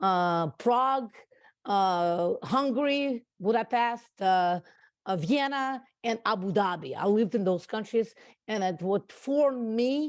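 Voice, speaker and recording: Against a quiet background, a woman with a Russian accent speaks at a very slow pace. Her medium pitch carries lively intonation. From Russia, raised abroad (Central Europe, UAE). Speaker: entrepreneur. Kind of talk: interview. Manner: halting, many fillers.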